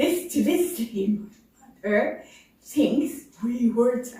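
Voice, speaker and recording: Her high-pitched voice has a dark, mellow tone, and this woman speaks at a very slow pace with lively intonation and big swings in loudness. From Canada. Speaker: voice disorder patient. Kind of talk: casual anecdote.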